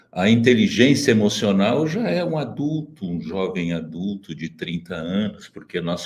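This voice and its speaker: The man's pitch is very deep and low. He speaks at a moderate pace with lively intonation. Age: 70s. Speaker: socio-emotional education expert. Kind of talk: webinar panel talk. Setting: online webinar. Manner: measured, formal.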